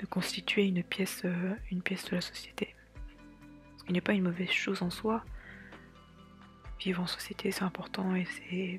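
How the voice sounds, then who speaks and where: Quiet whispering at a moderate pace, with long, frequent pauses and a relaxed tone, plays over music in the background. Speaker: artist / illustrator vlogger. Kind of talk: casual talk to camera. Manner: whispered, quiet, relaxed.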